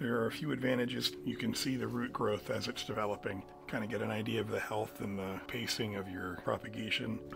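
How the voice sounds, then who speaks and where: A man's fairly low-pitched voice at a moderate pace, with clear music in the background. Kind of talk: tutorial. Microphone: phone near.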